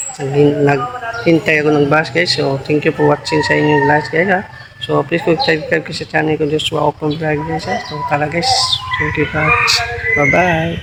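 The speaker goes at a fairly slow pace against noticeable background noise. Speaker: vlogger. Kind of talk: casual vlog, walking monologue to camera. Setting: outdoors. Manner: casual, repetitive, chatty.

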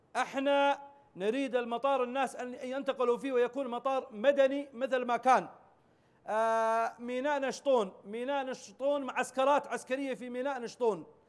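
A man speaks at an extremely high pitch. His pace is moderate and his intonation fairly even. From Yemen, Socotra; Yemen. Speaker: interview guest. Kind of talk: TV interview. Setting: satellite link. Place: studio.

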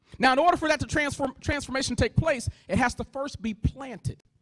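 The tone is animated. The background is quiet. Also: man. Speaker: motivational speaker. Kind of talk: motivational keynote speech. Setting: stage with audience. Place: hall. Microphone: handheld.

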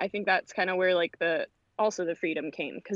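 A woman in an American accent, fairly low in pitch, with fairly even intonation at a moderate pace. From California, LA beach area. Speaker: voice actress and performer. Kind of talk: casual interview. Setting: remote call while walking dog.

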